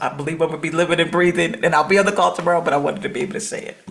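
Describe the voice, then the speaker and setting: A woman's speech, with ordinary pitch variation, is heard over noticeable background noise. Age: 60s. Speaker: coaching program participant. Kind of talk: casual chat. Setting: video call.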